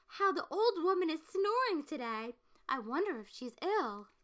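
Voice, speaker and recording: A woman puts on a character voice at an extremely high pitch, with very wide pitch swings. She keeps a moderate pace while her loudness swings widely. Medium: read story.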